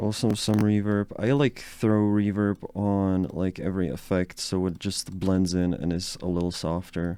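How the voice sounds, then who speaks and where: A man with a Czech accent and a very deep, low pitch speaks at a fairly slow pace with hardly any pauses, his dark, mellow tone held in fairly even intonation. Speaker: music producer, YouTuber. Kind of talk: casual tutorial. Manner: casual, hesitant with many fillers.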